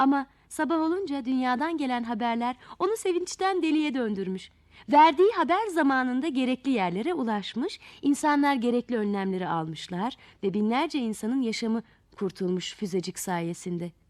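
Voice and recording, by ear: At a moderate pace with few pauses, a woman speaks in a high pitch with lively intonation and a slightly mellow tone.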